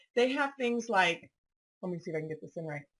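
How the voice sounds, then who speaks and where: Her voice somewhat breathy, a woman speaks with very wide pitch swings. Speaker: paper crafting video host. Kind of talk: product walkthrough tutorial. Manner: casual, chatty with many fillers.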